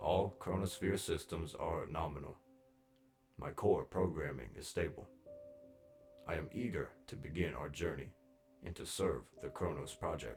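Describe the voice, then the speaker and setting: Someone uses a put-on character voice at a moderate pace, with long, frequent pauses. Faint music plays in the background. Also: man, very deep, low pitch for a man. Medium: read story. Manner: calm, measured.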